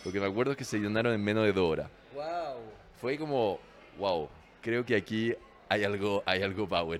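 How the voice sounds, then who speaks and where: This man has a French accent and a fairly low pitch with ordinary variation. He talks fairly quickly but leaves long, frequent pauses. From France. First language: French (speaking Spanish). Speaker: restaurant manager. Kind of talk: casual interview. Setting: bar. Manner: halting, repeats words.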